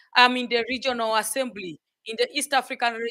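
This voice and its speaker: A woman speaks at a fairly quick pace and a fairly high pitch. Her tone is bright and sharp, and the sound is dry and close with no echo. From Uganda. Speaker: member of parliament. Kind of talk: question and answer.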